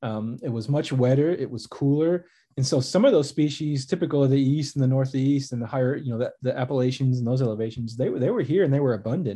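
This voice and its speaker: Against a quiet background, a man with an American accent talks at a very fast pace with hardly any pauses, his medium-pitched voice dark, mellow and somewhat breathy, with ordinary pitch variation. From US Midwest, suburbs of Chicago. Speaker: naturalist and biologist. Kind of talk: casual interview.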